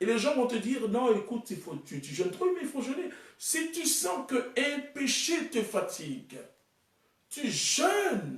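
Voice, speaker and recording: An extremely high male voice at a very slow pace, with very wide pitch swings and big swings in loudness. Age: 30s. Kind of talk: sermon.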